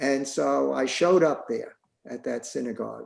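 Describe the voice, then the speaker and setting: A man with a New York accent at a moderate pace. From New York City, the Bronx. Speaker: synagogue member, former synagogue president. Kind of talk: casual interview. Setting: video call. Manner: halting.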